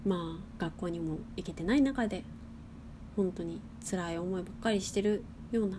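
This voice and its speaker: In a room with audible echo, a woman speaks at a moderate pace with long, frequent pauses. Her medium-pitched voice has a dark, mellow tone, vocal fry and ordinary pitch variation. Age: 20s. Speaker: podcast host. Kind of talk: casual monologue. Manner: casual.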